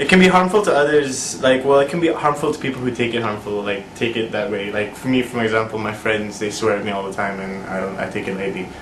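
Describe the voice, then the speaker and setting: Lively intonation marks very fast speech with hardly any pauses, heard with audible room echo and noticeable background noise. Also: man, medium pitch for a man. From Canada. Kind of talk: interview answers.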